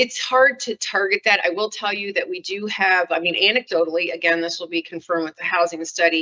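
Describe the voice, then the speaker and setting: Using a normal speaking voice, a woman at medium pitch with ordinary pitch variation talks at a fairly quick pace with hardly any pauses. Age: 60s. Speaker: city official. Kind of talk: public meeting presentation. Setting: council meeting.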